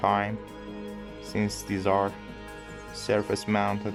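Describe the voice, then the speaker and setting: With music playing in the background, a man speaks with an English accent. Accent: non-native English, put-on English. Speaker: electronics hobbyist modder. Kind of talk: tutorial narration. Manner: hesitant, many fillers.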